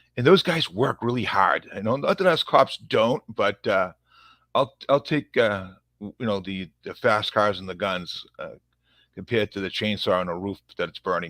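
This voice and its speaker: On a very clean recording with a silent background and a dry, close sound with no echo, a man in a strong Boston accent speaks at a moderate pace with a fairly low pitch, a bright, sharp tone, ordinary pitch variation and big swings in loudness. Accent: thick Boston. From Massachusetts, Revere near Boston. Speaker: police officer. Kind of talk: podcast interview. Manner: halting, many fillers and repeats.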